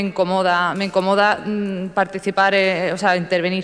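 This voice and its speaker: This is a woman's voice. Noticeable background noise sits behind it. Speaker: town councillor. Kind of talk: council debate speech. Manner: fast; halting, many fillers.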